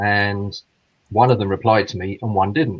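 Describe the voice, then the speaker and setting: Here a man speaks with a British accent and a fairly low, somewhat breathy voice. His pace is moderate and his pitch variation ordinary. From England, Midlands. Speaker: caller. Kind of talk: casual chat.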